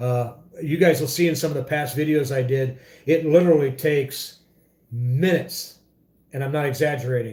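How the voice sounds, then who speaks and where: A man's fairly high-pitched voice, somewhat breathy with a dark, mellow tone, keeps a fairly even intonation. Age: 50s. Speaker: motorcycle vlogger. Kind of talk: casual livestream chat. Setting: home livestream. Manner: halting, many fillers.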